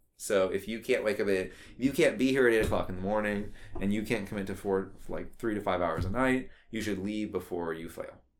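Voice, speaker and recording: A man with an American accent speaks at a fairly quick pace in a fairly low pitch, with ordinary pitch variation and audible room echo. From US South, Austin, Texas. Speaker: activist. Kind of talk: casual chat. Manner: halting, many fillers.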